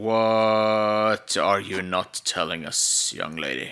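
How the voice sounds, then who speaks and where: At a very slow pace, a man uses a put-on character voice pitched fairly low. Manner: stern, questioning.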